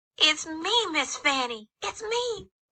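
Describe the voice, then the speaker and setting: A woman performs a put-on character voice, squeaky and pitched extremely high. Her pitch swings very widely. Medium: audio drama.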